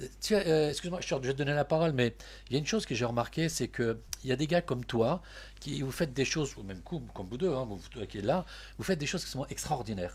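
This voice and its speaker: Very fast speech from a man, very clean recording, silent background. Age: 60s. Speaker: web radio host. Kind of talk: casual interview. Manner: animated; halting.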